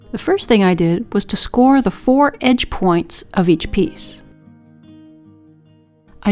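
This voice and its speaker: Against music in the background, a woman speaks at a fairly slow pace with a medium pitch and lively intonation. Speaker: potter. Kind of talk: pottery tutorial voice-over.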